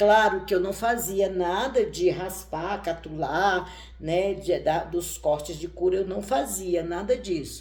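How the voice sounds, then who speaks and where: A woman's very slow, medium-pitched speech with hardly any pauses, ordinary pitch variation and audible room echo. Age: 60s. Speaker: tarot reader and witch. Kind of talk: casual chat.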